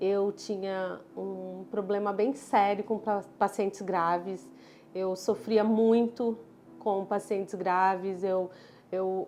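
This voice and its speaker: Woman with a southern Brazilian accent, dark, mellow tone, medium pitch, fairly even intonation and a very slow pace. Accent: southern Brazilian (gaúcho-like). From southern Brazil (Florianópolis; born in Pará). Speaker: dermatologist. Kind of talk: personal story vlog.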